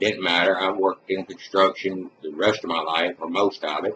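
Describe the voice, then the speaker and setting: A man speaks in a very deep, low voice with a Mississippi accent. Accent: Southern US (Mississippi). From US South, Mississippi. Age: 60s. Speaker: retired construction worker. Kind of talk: personal testimony. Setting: webcam recording. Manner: casual.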